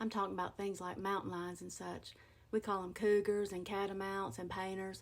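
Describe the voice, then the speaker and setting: Talking at a fairly quick pace is a woman. She has an Appalachian accent. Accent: Appalachian Southern US. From western North Carolina, USA. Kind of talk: casual talk to camera about dialect words. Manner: folksy, humorous.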